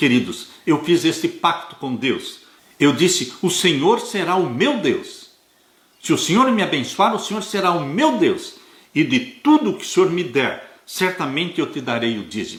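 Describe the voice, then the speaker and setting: A fairly slow pace with very wide pitch swings. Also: man, high pitch for a man. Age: 70s. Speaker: Adventist Bible teacher. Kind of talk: Bible study lesson. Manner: earnest, exhortative.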